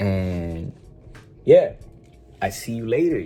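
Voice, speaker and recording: A man speaks in a somewhat breathy voice. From Sweden. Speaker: vlogger. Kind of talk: casual vlog.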